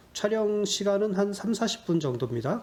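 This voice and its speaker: Lively intonation marks this man's speech, delivered at a fairly slow pace. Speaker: YouTuber solving sudoku puzzles. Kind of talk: casual Q&A monologue. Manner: hesitant, many fillers.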